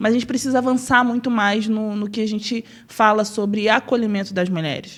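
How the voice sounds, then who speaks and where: A woman talks at a fairly quick pace in a fairly high pitch. Her intonation is fairly even, an ordinary speaking voice. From Rio de Janeiro state, Brazil (Nova Friburgo). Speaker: city councillor. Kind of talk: interview.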